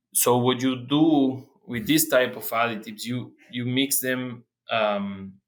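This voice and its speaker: A man speaks with a Spanish accent at a very slow pace. His pitch variation is ordinary. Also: medium pitch for a man. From Argentina. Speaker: animal nutrition researcher. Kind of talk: interview. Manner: halting, many fillers and repeats.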